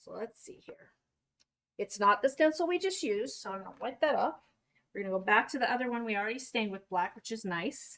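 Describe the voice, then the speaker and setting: Here a woman with a Utah accent talks at a very fast pace and a fairly high pitch. Her pitch swings very widely and her loudness swings a lot. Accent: picked up some Utah speech, e.g. dropped T's. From Kentucky, US. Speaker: craft workshop instructor. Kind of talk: live craft tutorial. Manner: casual, chatty.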